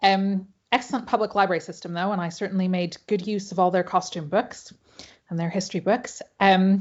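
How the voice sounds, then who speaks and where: With an American accent, a woman speaks at a fairly quick pace in a somewhat breathy, medium-pitched voice with fairly even intonation. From Hawaii. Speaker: pattern maker and costume historian. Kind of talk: panel presentation. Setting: video call.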